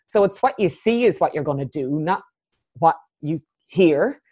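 Against a quiet background, a woman with an Irish accent and a dark, mellow tone lets her pitch swing very widely. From Ireland, Cork. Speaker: coach and facilitator. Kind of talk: interview.

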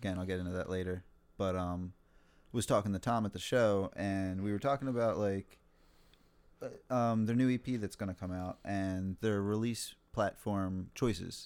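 At a moderate pace, someone speaks in an unremarkable speaking voice with fairly even intonation. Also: man, fairly low pitch for a man. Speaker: metal podcast co-host. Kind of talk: casual chat.

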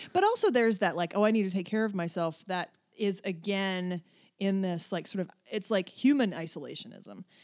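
Talking at a fairly quick pace, a woman has a plain, everyday voice with an American accent. Her pitch is medium, with ordinary pitch variation. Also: very clean recording, silent background. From western North Carolina mountains. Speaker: comedy director. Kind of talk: casual chat.

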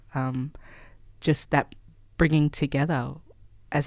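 A woman talks at a moderate pace in an Australian accent, her pitch very deep and low. Her intonation is fairly even, and the recording is very clean with a silent background. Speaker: activist. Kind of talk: interview.

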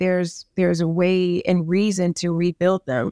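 A woman with an American accent talks at medium pitch in an ordinary speaking voice, with fairly even intonation. The sound is dry and close with no echo, on a very clean recording with a silent background. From New York, the Bronx. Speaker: advertising executive. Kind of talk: interview.

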